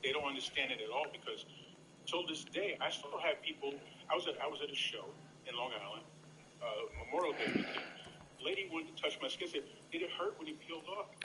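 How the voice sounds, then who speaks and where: The speech is very fast yet broken by long, frequent pauses. Noticeable background noise runs underneath. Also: man. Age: 60s. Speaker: comedian. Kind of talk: casual chat.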